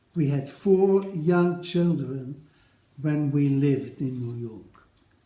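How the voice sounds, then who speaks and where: A man with a Dutch accent speaks at a very slow pace. Room echo is audible. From Netherlands. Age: 80s+. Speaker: retired paediatric nephrologist. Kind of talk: recorded personal address to colleagues. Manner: formal.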